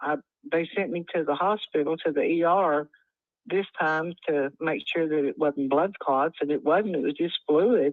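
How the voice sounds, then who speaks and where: With a West Texas accent, a woman speaks at a fairly low pitch with ordinary pitch variation and very even loudness. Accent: West Texas Southern. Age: 70s. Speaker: home seller. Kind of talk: phone call conversation. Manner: halting.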